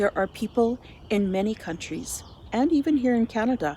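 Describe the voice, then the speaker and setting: A woman's lively intonation comes at a moderate pace. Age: 60s. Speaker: volunteer with a menstrual health charity. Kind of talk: scripted narration; casual chat.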